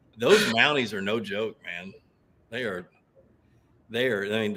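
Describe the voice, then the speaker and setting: With a Southern US accent, a man of medium pitch speaks at a fairly quick pace. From US South. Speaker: fishing show host. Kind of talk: casual chat. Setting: live video stream.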